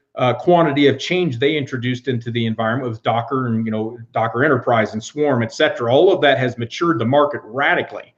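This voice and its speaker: A fairly quick pace with ordinary pitch variation. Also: man. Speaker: cloud engineer. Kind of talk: interview. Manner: loud; fast.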